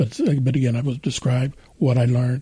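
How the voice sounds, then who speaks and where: A somewhat breathy man with a dark, mellow tone speaks at a moderate pace, medium pitch and fairly even intonation. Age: 60s. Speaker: retired autoworker and author. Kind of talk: interview. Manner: halting.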